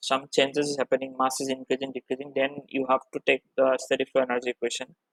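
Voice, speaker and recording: Very fast and fairly high-pitched, a man talks with a dry, close sound and no echo. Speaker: teaching assistant. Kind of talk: tutorial.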